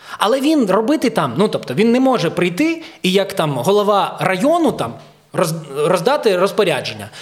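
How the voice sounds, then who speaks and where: Against noticeable background noise, a man with a high voice swings very widely in pitch at a moderate pace while his loudness stays very even. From Ukraine. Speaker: comedian, leader of a comedy troupe. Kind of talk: casual chat.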